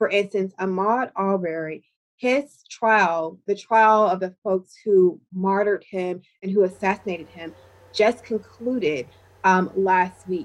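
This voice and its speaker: A woman's ordinary speaking voice, medium in pitch, with an American accent, ordinary pitch variation and a fairly slow pace. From US South, Georgia. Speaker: voting rights advocacy director. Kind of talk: interview.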